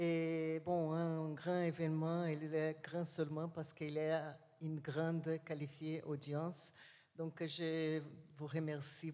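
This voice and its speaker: In a Portuguese accent, a dark, mellow tone moves at a very slow pace, with audible room echo. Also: woman. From Brazil. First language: Portuguese (speaking French). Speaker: university professor. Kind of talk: conference talk. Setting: assembly hall with audience. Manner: slow, deliberate; halting, many hesitations.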